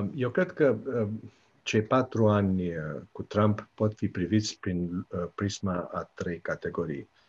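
Against a quiet background, a man with a fairly low pitch speaks at a very slow pace, with lively intonation and long, frequent pauses. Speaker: political science professor. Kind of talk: radio interview. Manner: hesitant, many fillers.

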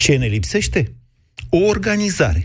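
The recording is very clean with total silence behind the man, who talks neither fast nor slow. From southwestern Romania. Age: 40s. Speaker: radio host. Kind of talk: radio debate show. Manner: argumentative.

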